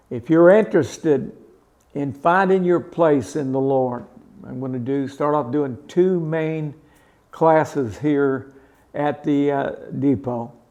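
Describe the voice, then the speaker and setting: At a very slow pace, a man with a fairly high pitch and a dark, mellow tone speaks with ordinary pitch variation. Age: 70s. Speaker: preacher. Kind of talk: promotional talk. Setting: studio. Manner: halting.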